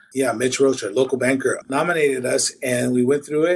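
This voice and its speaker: A man talks fairly quickly in an American accent. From Washington state, US Pacific Northwest. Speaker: cleaning company founder. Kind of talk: casual chat.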